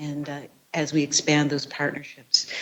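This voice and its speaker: A woman speaks softly. Her pace is fairly quick. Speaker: university research leader. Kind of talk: presentation speech. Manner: soft-spoken; halting.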